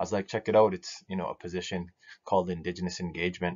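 With a Canadian Prairie accent, a man speaks in a very deep, low voice and monotone, flat intonation against a quiet background. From northern Saskatchewan, Cree First Nation. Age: 30s. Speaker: business association director. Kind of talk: recorded presentation. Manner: hesitant, many fillers. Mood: relaxed, lightly humorous. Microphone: webcam.

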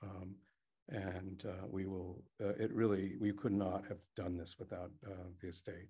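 A man speaks at a fairly slow pace in a very deep, low voice, his intonation fairly even and his breath somewhat audible. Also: quiet background. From Maine, Rockland area. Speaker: project coordinator, oral history. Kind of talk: public talk. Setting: library event with audience. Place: meeting room. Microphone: podium.

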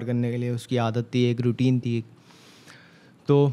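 A man speaks at a moderate pace in a dark, mellow tone. His intonation stays monotone and flat. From Karachi, Pakistan. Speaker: rapper; podcast guest. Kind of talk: casual interview. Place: studio. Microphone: studio mic.

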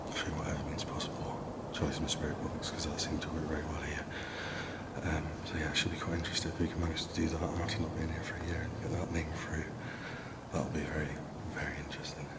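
A man rushes through his words at a very fast pace, with loud background noise around him. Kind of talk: casual vlog chat. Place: open country. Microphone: phone near.

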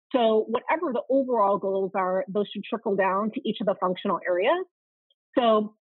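A woman talks at a moderate pace with a fairly high pitch and ordinary pitch variation, in an American accent. The background is quiet and the sound is dry with no echo. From US Midwest, outside Chicago, Illinois. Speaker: marketing operations consultant; podcast guest. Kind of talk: podcast interview. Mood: upbeat, animated. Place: home room. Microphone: video call.

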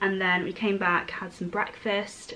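A woman talks at a moderate pace while light noise sounds in the background. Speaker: vlogger. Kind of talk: casual vlog chat. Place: home room.

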